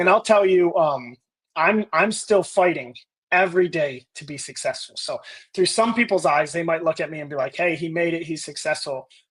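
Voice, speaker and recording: Loud and high in pitch, a man with an American accent talks at a moderate pace with ordinary pitch variation. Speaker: business leader and army veteran. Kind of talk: interview. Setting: live video podcast. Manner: loud, intense.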